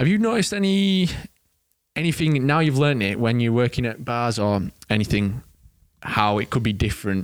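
A man with an English accent talks at a fairly quick pace and medium pitch, with very wide pitch swings. Long, frequent pauses punctuate his speech, and his loudness stays very even. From England. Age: 20s. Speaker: trainee pilot, podcast co-host. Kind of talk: casual chat.

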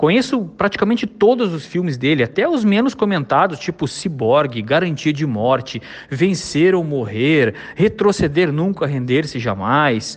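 Over noticeable background noise, a man speaks fairly slowly in a fairly high pitch that swings very widely. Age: 40s. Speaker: site editor giving a recorded testimonial. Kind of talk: recorded testimonial.

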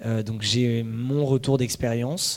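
A man speaks in a medium pitch with a dark, mellow tone. His intonation is monotone and flat. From Paris suburbs, France. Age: 30s. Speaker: startup founder. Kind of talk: talk presentation. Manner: hesitant with fillers.

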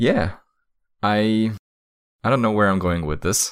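In a very clean recording with a silent background, a man with a Slovak accent speaks at a fairly low pitch. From Slovakia. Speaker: podcast co-host. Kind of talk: casual conversation.

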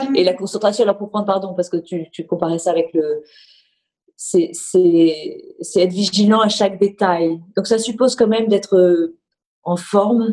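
Dark and mellow in tone, the voice moves at a fairly slow pace with fairly even intonation. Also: woman, medium pitch for a woman. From Marseille, southern France. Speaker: bank executive and former business lawyer. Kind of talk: interview. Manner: halting, with frequent repetitions.

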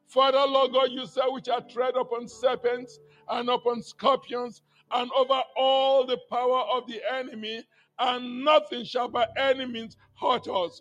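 A man talks at a fairly slow pace with an extremely high pitch and fairly even intonation. Music plays in the background. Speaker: intercessor in prayer meeting. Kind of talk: fervent prayer.

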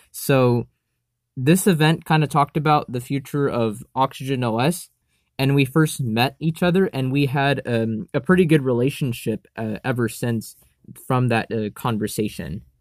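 Here a man with an American accent speaks in a normal speaking voice at a medium pitch and a moderate pace. His pitch varies in an ordinary way, and the recording is very clean with a silent background. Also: dry, close sound with no echo. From United States. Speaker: tech enthusiast. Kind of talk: casual chat.

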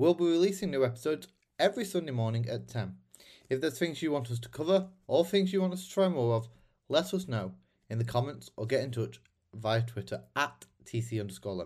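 Somewhat breathy, a man with a British accent talks at a fairly quick pace with very wide pitch swings. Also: medium pitch for a man. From Britain. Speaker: podcast host. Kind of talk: interview; scripted podcast intro and outro.

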